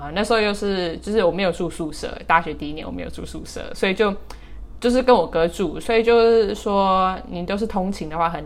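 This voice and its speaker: A woman speaks at a moderate pace in a medium pitch, with vocal fry, ordinary pitch variation and big swings in loudness. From Taiwan, with childhood years in the US. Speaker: podcast co-host, interviewee. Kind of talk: casual interview chat.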